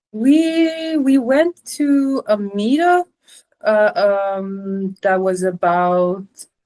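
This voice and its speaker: Very slow speech from a woman with an Iranian accent, fairly high in pitch yet dark and mellow in tone, with very wide pitch swings and a dry, close sound with no echo. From Sweden. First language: Farsi. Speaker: marketing professional. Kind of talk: casual chat. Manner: halting.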